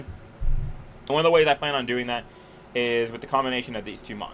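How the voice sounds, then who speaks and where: A man speaks over noticeable background noise. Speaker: competitive gaming coach, video creator. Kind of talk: casual teambuilding commentary. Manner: stuttering over words.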